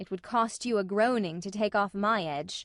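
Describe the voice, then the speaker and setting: The speaker growls through a put-on character voice at a moderate pace with ordinary pitch variation. The sound is dry and close, with no echo. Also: woman. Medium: audio drama. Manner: brief, dry.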